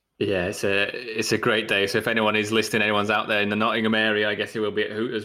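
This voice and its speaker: Talking very fast with hardly any pauses, a man with a British accent has a bright, sharp tone, a fairly low pitch and monotone, flat intonation. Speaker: podcast host. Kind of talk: casual chat.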